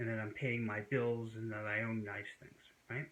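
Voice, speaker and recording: A man with a plain, everyday voice at medium pitch and a moderate pace. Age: 60s. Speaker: YouTuber discussing wellness and history. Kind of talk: casual monologue to camera. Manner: conversational with many fillers.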